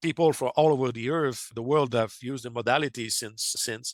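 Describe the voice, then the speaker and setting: With a French Canadian accent, a man talks at a fairly quick pace and medium pitch, his pitch varying in an ordinary way, in a dry, close sound with no echo on a very clean recording over a silent background. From Quebec, Canada. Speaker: amateur radio operator and UFO contact researcher. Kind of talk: podcast interview. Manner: halting, with frequent self-corrections and fillers.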